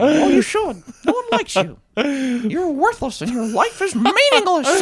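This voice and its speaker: A put-on character voice with high pitch and a moderate pace. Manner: quiet, cruel, taunting.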